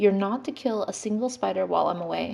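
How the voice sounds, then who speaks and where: In a put-on character voice, a woman races along at a very fast pace with a medium pitch. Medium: read story. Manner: offhand, airy.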